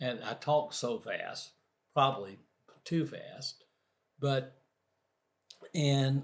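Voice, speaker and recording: A man speaks at a very slow pace, leaving long, frequent pauses. His voice is somewhat breathy. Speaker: motivational speaker. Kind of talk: interview. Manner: halting, stutters on some words.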